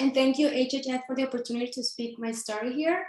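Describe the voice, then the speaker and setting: A woman with a Mexican accent speaks at a very fast pace and high pitch, her intonation fairly even. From Mexico (Sinaloa). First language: Spanish. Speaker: nonprofit founder and CEO. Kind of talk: panel presentation.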